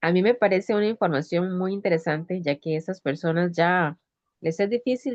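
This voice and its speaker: At a fairly quick pace, a woman speaks in an unremarkable speaking voice, fairly low in pitch with ordinary pitch variation. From Michoacán, Mexico. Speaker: conference attendee. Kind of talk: Q&A comment in online talk.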